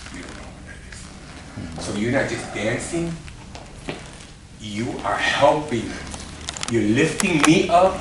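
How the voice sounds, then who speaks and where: Delivered at a fairly slow pace with long, frequent pauses, the speech has lively intonation and big swings in loudness, along with noticeable background noise and audible room echo. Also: man, fairly high pitch for a man. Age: 60s. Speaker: dance choreographer and show host. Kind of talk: motivational talk to dancers. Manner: animated.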